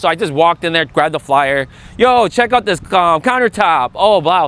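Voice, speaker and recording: Pitched high, a man's voice moves with lively intonation. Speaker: real estate agent. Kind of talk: panel talk at event. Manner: casual, filler-heavy; stutters at times.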